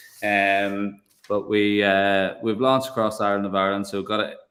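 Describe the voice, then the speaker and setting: A man with a Northern Irish accent speaks at a moderate pace in a fairly low voice. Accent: funny accent, northern Irish. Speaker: whiskey producer. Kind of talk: live tasting chat.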